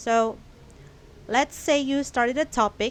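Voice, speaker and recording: A woman speaks with a Filipino accent and ordinary pitch variation. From Philippines. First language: Filipino language. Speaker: YouTuber. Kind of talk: vlog monologue. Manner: casual, hesitant with fillers.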